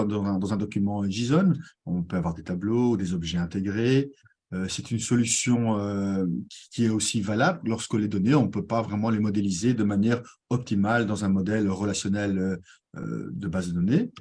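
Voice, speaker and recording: A man speaks at a moderate speed in a fairly low voice, its tone dark and mellow and its pitch varying in an ordinary way. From Belgium. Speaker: tech community manager and presenter. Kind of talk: conference presentation. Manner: hesitant, many fillers.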